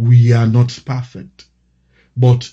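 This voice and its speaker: Here is a man with a dark, mellow tone and a somewhat breathy voice. He speaks at a very slow pace. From Sierra Leone. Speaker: pastor. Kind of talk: prayer.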